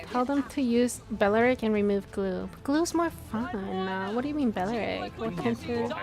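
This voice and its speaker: With an American accent, a woman speaks at a moderate pace with hardly any pauses, using lively intonation at a fairly high pitch. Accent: American-sounding. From Korea. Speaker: esports streamer / restreamer. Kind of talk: casual live-stream chat reading and reacting. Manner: animated.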